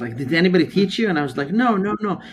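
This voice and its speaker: Lively intonation from a man, music playing behind him. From US Midwest and Saudi Arabia. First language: Arabic. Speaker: club growth director of a public speaking organization. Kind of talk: podcast interview. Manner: halting, many repeated words.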